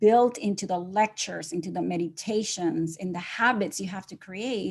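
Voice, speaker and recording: This woman has a medium pitch and a somewhat breathy voice, with a Spanish accent. She talks at a moderate pace with ordinary pitch variation. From Nicaragua. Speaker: gratitude coach, entrepreneur. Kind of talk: podcast interview. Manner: unscripted.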